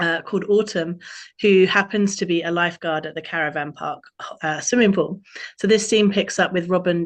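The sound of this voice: The speaker reads in an unforced reading voice.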